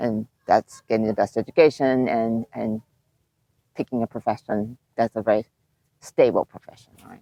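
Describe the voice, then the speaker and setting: Speaking at a moderate pace with a Japanese accent, the voice has a dark, mellow tone, monotone, flat intonation, big swings in loudness and long, frequent pauses, in a dry, close sound with no echo. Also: woman, very deep, low pitch for a woman. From Japan, moved to the US at age eight. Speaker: animation film producer. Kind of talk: casual interview.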